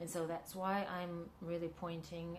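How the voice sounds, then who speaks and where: Someone speaks at a fairly slow pace in a Russian accent. The room echo is audible. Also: woman. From Central Asia, Kyrgyzstan. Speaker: filmmaker and actress. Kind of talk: interview. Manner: halting, many fillers.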